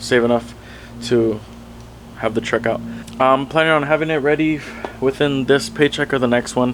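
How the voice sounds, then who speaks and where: A man keeps his intonation fairly even while noticeable background noise carries on behind him. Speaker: truck vlogger. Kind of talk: casual vlog talk. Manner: fast.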